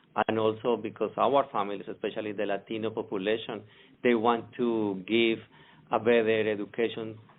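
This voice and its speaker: At a moderate pace, a man with a Spanish accent talks at a medium pitch with monotone, flat intonation. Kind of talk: interview. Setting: podcast.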